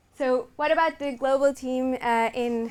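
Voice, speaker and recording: A woman speaks with a Portuguese accent. Her pitch is high, with ordinary variation. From Portugal. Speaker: revenue management manager. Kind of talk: conference presentation.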